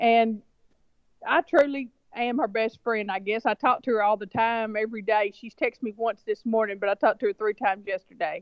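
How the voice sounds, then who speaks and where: A woman with a Southern US accent, her voice fairly high, her pace fairly quick, her pitch moving in an ordinary way. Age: middle-aged. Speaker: reality TV cast member. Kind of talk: interview. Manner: casual, chatty.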